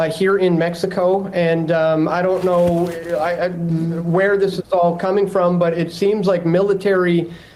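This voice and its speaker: Someone with a Canadian accent speaks at a moderate pace against noticeable background noise. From Canada. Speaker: journalist reporting from the scene. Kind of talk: live news interview. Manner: halting, many fillers and repeats.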